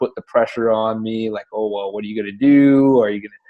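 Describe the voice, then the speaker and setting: A man's monotone, flat delivery with a French Canadian accent. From French Canada. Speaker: digital entrepreneur. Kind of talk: interview. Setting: call.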